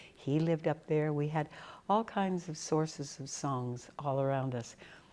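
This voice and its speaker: A woman with a New England accent, very deep and low in pitch, fairly slow, on a very clean recording with a silent background. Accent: New England American. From New England, New Hampshire. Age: 80s+. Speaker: folk musician. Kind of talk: interview. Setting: in person at a music camp.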